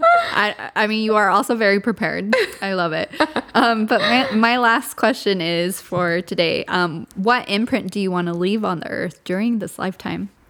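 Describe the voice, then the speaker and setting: Noticeable background noise sits behind a woman's voice. She talks at a moderate pace with ordinary pitch variation. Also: medium pitch for a woman. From Southern California. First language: Spanish. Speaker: podcast host. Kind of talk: casual interview chat.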